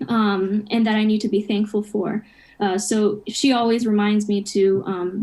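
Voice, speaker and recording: Somewhat breathy, a woman talks at a fairly slow pace in a fairly high pitch. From Japan and US upbringing. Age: 20s. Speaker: college student. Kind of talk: interview chat.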